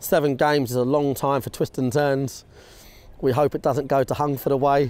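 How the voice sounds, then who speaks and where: The man's tone is dark and mellow, with monotone, flat intonation. The sound is dry with no echo. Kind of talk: interview answer. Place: stadium.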